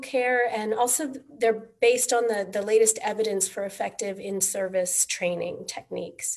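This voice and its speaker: At a moderate pace, a woman speaks at a fairly high pitch with ordinary pitch variation. Noticeable background noise is present. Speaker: maternal health advisor and midwife. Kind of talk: webinar presentation.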